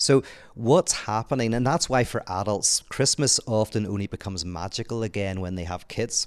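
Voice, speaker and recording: A man with a Northern Irish accent, fairly low in pitch, at a moderate pace with ordinary pitch variation, in a dry, close sound with no echo and a very clean recording with a silent background. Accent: Northern Irish (Belfast). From Northern Ireland, Belfast. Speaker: author and theologian. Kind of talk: casual conversation. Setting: apartment, in person.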